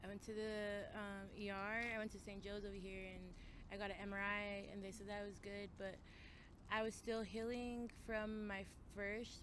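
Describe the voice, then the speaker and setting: A woman's medium-pitched voice with an American accent, in audible room echo. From Colorado. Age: young. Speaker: person experiencing homelessness. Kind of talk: interview. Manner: halting.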